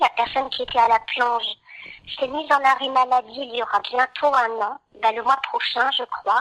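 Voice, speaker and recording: A woman speaks at a moderate pace with a high pitch. Her intonation stays fairly even, and the sound is dry and close with no echo. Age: 50s. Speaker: former care home worker. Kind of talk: testimony. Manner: hesitant, with many fillers.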